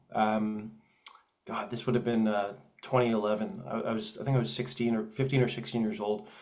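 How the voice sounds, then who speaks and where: There is audible room echo as a man with a Canadian accent talks at a fairly quick pace, his medium-pitched voice keeping fairly even intonation. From Canada, Edmonton, Alberta. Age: 30s. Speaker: film writer and director. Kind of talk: interview. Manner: halting, many fillers.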